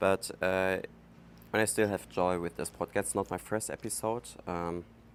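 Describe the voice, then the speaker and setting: This man has a German accent and a very deep, low pitch. He speaks at a fairly slow pace. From Germany. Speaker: podcast host. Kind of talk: casual monologue. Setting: outdoors. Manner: halting, many fillers.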